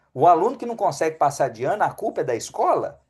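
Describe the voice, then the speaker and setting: The speaker has a Minas Gerais accent and talks at a fairly quick pace. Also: man. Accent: mineiro Brazilian Portuguese. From Brazil, Belo Horizonte (Minas Gerais). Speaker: physician (geriatrics, functional medicine). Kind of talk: webinar talk.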